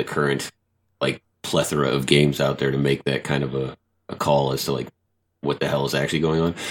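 Talking at a fairly quick pace, a man's voice shows vocal fry. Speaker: gaming podcast guest. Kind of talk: casual chat.

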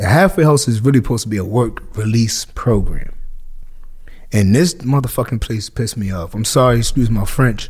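A somewhat breathy man with a Northeastern US accent, lively intonation and a fairly quick pace. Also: medium pitch for a man. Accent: urban Northeast US. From Hartford, Connecticut. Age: 30s. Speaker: barber and former prisoner. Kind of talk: casual interview.

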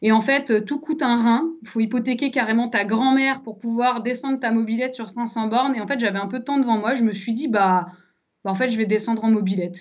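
Using an ordinary speaking voice, a woman talks at a fairly quick pace with fairly high pitch and fairly even intonation. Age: 30s. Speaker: traveller. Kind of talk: casual interview. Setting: studio.

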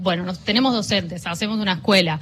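Very fast speech runs on with noticeable background noise in the mix. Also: woman. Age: 30s. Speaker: journalist, co-founder of a feminist media collective. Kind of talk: interview. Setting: radio booth at a book fair.

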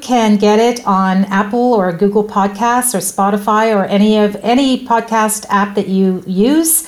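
A fairly high-pitched woman's voice over noticeable background noise. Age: 50s. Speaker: podcast host. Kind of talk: interview.

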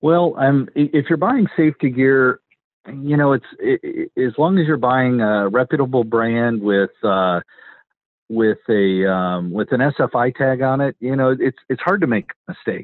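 Speaking at a fairly slow pace with an American accent, a man keeps his loudness very even. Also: medium pitch for a man. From Wisconsin, US Midwest. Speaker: racing safety gear company owner. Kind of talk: interview. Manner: halting.

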